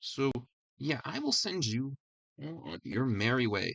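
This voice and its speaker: Quiet and calm in tone, a man speaks at a medium pitch, the sound dry and close with no echo. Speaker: podcast host. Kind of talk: casual solo podcast talk. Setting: live stream recording. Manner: quiet, calm; stutters a lot.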